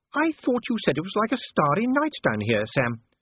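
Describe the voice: Using a put-on character voice, a man talks high and at a fairly quick pace, with very wide pitch swings and a slightly husky edge.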